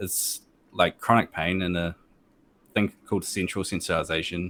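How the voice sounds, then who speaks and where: On a very clean recording with a silent background, a man with a very deep, low pitch talks at a moderate pace in a monotone, flat intonation. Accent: New Zealand. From New Zealand. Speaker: gamer and streamer. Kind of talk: interview. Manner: hesitant, many fillers.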